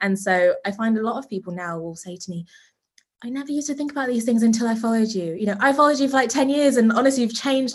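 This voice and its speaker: Somewhat breathy and fairly high in pitch, a woman talks at a very fast pace. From Zimbabwe. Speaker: fashion brand founder. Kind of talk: interview.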